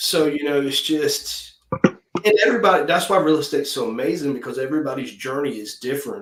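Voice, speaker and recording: A man with an ordinary speaking voice, fairly high pitch, lively intonation and a fairly quick pace. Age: 40s. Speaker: real estate agent. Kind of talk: casual chat.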